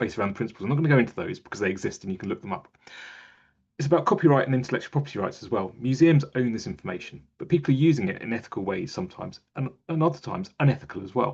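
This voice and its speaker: Very fast, somewhat breathy speech from a man with very wide pitch swings. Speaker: museum digital strategist. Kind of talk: webinar presentation.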